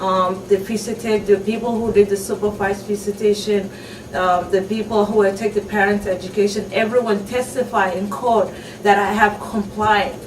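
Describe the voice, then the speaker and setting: A woman's medium-pitched voice stays monotone and flat at a moderate pace, with noticeable background noise around it. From Somalia. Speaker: refugee mother. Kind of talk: testimony. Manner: halting.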